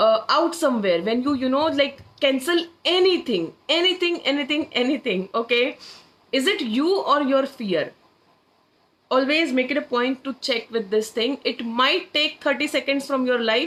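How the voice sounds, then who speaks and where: The voice is loud, with lively intonation. It moves at a moderate pace. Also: woman, high pitch for a woman. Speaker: manifestation coach. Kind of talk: live-stream workshop. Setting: social media live stream.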